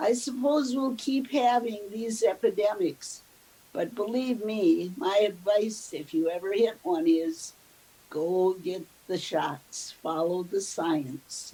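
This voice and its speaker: A woman with an Upper Midwest accent, medium pitch, lively intonation and a very slow pace, over noticeable background noise. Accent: Upper Midwest (Minnesota). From US Midwest, southern Minnesota (Mankato). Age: 80s+. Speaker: elderly woman telling her life story. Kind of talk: oral history interview.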